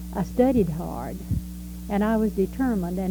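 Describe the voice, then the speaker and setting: A woman speaks with a Texan accent. Her pace is moderate. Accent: Texan Southern American. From Texas. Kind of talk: life story recollection. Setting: home recording, variable quality.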